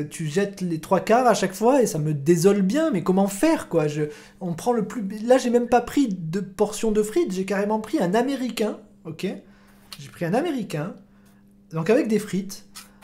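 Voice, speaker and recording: With lively intonation, a man speaks in a high voice. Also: moderate pace. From Marseille. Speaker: football podcast host and streamer. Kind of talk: casual live-stream football chat. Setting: live stream.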